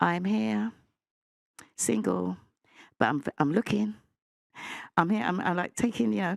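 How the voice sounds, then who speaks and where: A woman talks loudly at a fairly quick pace in an animated tone, with vocal fry and very wide pitch swings, on a very clean recording with a silent background. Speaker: panel debate guest. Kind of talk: heated debate.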